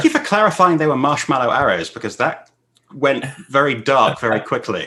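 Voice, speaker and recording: Using an ordinary speaking voice, a man talks at a fairly quick pace with lively intonation and a fairly high pitch. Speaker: convention panel host. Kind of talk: panel moderator talking to guests.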